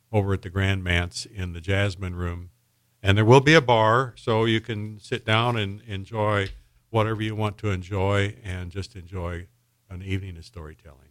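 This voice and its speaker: A man with an ordinary speaking voice talks at a moderate pace and fairly low pitch, his intonation fairly even but his loudness swinging widely, on a very clean recording with a silent background. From Indiana, US Midwest. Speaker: storytelling event organizer. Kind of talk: casual radio interview.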